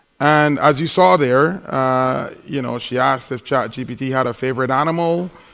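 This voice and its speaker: The recording is very clean, with a silent background. A man talks at a moderate pace with ordinary pitch variation. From Barbados. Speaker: conference keynote speaker. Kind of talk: conference talk. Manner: animated.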